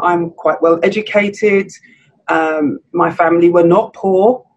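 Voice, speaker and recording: A woman with a southern English accent speaks at a very slow pace. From southern England, Surrey. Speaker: podcast co-host. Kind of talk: casual chat.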